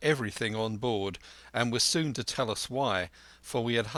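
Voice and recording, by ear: The clip is reading aloud in a natural voice. Its pitch variation is ordinary.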